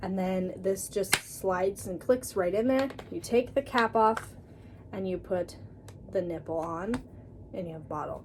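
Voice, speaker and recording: Speech moves at a moderate pace with ordinary pitch variation, broken by long, frequent pauses. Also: woman, medium pitch for a woman. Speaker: vlogger. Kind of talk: product review vlog. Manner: animated.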